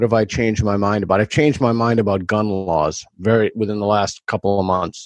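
A normal speaking voice from a man, fairly low and fairly quick, with fairly even intonation, very even loudness, and a dry, close sound with no echo. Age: 50s. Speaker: author and academic. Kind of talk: interview conversation.

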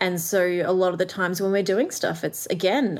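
A woman speaks in an Australian accent at a fairly quick pace. Her pitch sits fairly low. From Australia, Melbourne. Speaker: artist and entrepreneur. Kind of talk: interview conversation. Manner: fast talker.

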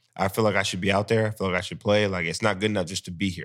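A man with a very deep, low voice and an American accent, talking very fast in a flat monotone, on a very clean recording with a silent background. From Sacramento, California. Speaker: professional football player. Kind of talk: casual chat.

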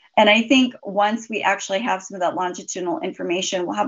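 A woman with an American accent talks in a normal speaking voice at a medium pitch, with lively intonation and a fairly quick pace. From US, southeast Idaho. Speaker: physician. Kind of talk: interview.

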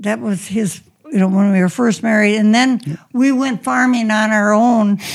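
A somewhat breathy woman's voice with an American accent, fairly high in pitch, with ordinary pitch variation, very even loudness and a moderate pace. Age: 80s+. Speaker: podcast host's mother. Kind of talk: interview. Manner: halting.

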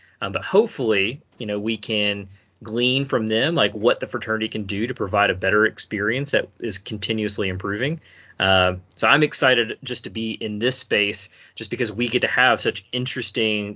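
Delivered at a fairly quick pace, this is an ordinary speaking voice with fairly even intonation. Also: man. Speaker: incoming podcast host. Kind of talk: casual chat.

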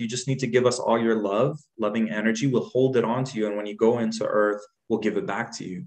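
Using a normal speaking voice, a man talks at a fairly quick pace with fairly even intonation and a medium pitch. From Jordan, raised in Dubai, then Canada. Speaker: guest, healer, poet and musician. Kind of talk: casual interview chat.

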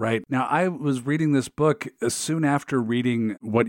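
On a very clean recording with total silence behind it, an unremarkable speaking voice keeps a moderate pace and ordinary pitch variation. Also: man. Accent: American. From US Pacific Northwest, Seattle area. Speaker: podcast host. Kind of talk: interview; scripted narration.

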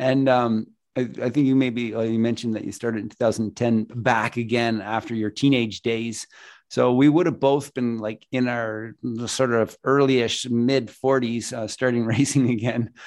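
In a Canadian accent, a man talks fairly slowly at a medium pitch with monotone, flat intonation against a quiet background. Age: 50s. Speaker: realtor and podcast host. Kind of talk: casual interview. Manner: halting, many fillers.

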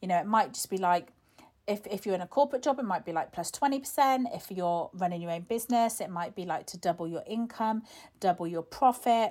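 Talking at a fairly quick pace, a woman has a medium-pitched voice with lively intonation. She has an ordinary speaking voice, with big swings in loudness. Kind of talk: guided visualisation, calm instructional prompts to close your eyes and imagine. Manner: warm, gentle, coaxing, conversational and encouraging.

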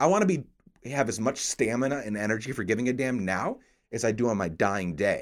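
A man with an American accent uses a normal speaking voice at a medium pitch, talking at a fairly quick pace with lively intonation. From upstate New York. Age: 30s. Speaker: podcast host. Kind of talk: casual chat.

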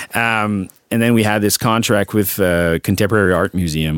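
In a Quebec French accent, a man talks with ordinary pitch variation in a very clean recording with a silent background and a dry, close sound with no echo. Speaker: advertising creative director. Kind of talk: casual interview. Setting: studio.

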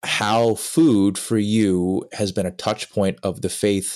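This man has an unremarkable speaking voice with a fairly low pitch. He talks at a fairly slow pace. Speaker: podcast host. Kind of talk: interview chat.

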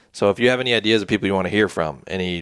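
A man talks at a very fast pace in a fairly low voice. The sound is dry and close, with no echo. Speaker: podcast host. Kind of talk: casual chat. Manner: casual, jokey.

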